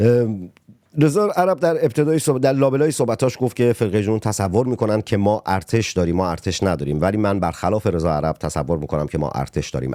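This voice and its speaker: Fairly low-pitched, a man speaks at a fairly quick pace with very wide pitch swings. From Iran, Abadan. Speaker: podcast host, poet and journalist. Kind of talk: political interview podcast. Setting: studio.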